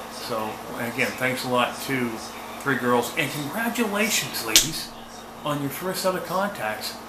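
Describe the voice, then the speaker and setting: Amid noticeable background noise and audible room echo, a man with a fairly high pitch speaks at a fairly slow pace, his pitch swinging very widely. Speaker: ham radio vlogger. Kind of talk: casual video outro; radio contact exchange. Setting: outdoor field day event. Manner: hesitant with many fillers.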